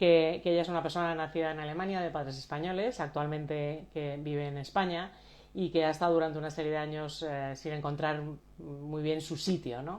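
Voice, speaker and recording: With fairly even intonation, her voice sits at a very deep, low pitch for a woman. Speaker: coach and live stream host. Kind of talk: live stream introduction. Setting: Instagram live video. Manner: soft-spoken; halting.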